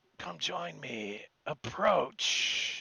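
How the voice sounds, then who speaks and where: A man does a raspy, put-on character voice at a medium pitch. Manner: commanding.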